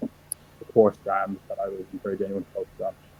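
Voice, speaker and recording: Here a man talks with an Irish accent. His pace is fairly quick. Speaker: professional wrestler. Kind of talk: interview.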